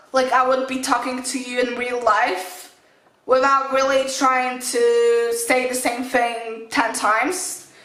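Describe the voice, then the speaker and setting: Noticeable background noise sits behind a woman's voice. She speaks very slowly, high in pitch, with fairly even intonation. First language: not English. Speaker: fitness vlogger. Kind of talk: casual vlog talk to camera. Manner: halting, with self-corrections.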